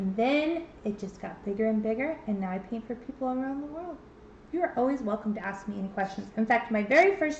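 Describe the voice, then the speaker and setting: A woman speaks in an ordinary speaking voice. Her pitch is fairly high, with lively intonation. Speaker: painting instructor. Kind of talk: tutorial. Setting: livestream.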